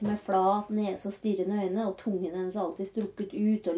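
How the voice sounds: This is a natural reading voice. The words are read in that way.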